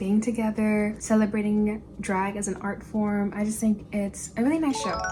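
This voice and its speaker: A soft-spoken woman talks over noticeable background noise. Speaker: lifestyle vlogger. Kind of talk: casual chat.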